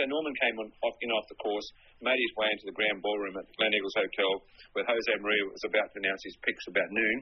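A man's medium-pitched voice in an Australian accent, very fast in pace, with ordinary pitch variation. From Sydney, Australia. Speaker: golf journalist. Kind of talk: interview.

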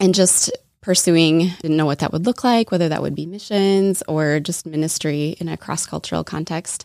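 A woman with a slight Minnesota accent and a fairly low voice speaks at a moderate pace with ordinary pitch variation, in a dry, close sound with no echo. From Minnesota, US Midwest. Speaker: guest, sells fair trade goods. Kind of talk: casual interview chat.

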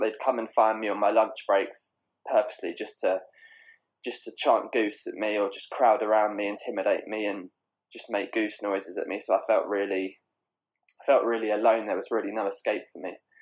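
A man with a southeast English accent talks at a fairly quick pace. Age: 20s. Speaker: bullying survivor and journalist. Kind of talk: personal testimony. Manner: hesitant, repeats words.

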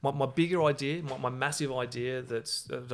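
A man talks at a moderate pace in an unremarkable speaking voice. His intonation is fairly even. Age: 30s. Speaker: entrepreneur and navy veteran. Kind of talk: interview.

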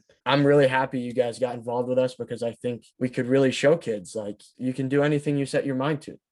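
This man speaks at a medium pitch with flat, monotone intonation. The background is quiet. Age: 20s. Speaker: aspiring filmmaker and comic creator. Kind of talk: casual interview. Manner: fast.

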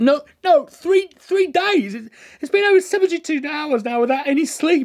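A put-on character voice, pitched high, moves along at a fairly slow pace.

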